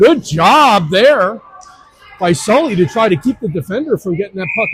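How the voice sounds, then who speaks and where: Music plays behind a man speaking at a moderate pace. His pitch is high and his intonation lively. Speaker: youth hockey live stream commentator. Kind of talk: live commentary. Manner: loud; animated.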